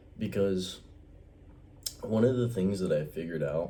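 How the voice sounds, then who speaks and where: A man with ordinary pitch variation in a room with audible echo. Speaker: vlogger. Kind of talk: casual vlog monologue. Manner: quiet, keeping voice down; casual, hesitant with fillers.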